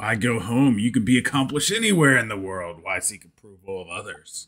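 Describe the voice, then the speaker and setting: Using a put-on character voice, a man speaks raspily at a fairly quick pace, with medium pitch and lively intonation. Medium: actual play. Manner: folksy.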